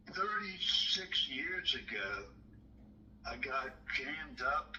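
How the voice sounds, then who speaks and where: Background noise is noticeable throughout. A man talks in an American accent. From Maryland. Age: 60s. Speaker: caller. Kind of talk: phone call. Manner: halting.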